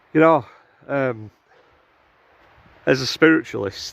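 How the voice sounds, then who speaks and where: This is a man speaking. He has a strong northern English accent. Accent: thick northern English. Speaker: outdoor vlogger, cryptid enthusiast. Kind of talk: casual monologue while walking in woods. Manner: casual, hesitant with fillers.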